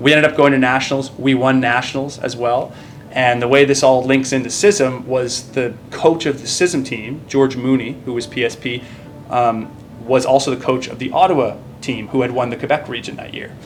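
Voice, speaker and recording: Music plays in the background as a man of medium pitch speaks at a moderate pace with fairly even intonation, big swings in loudness and audible room echo. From Nova Scotia, Canada. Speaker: naval officer and military basketball player. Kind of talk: casual interview chat. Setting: gym, stretching after workout.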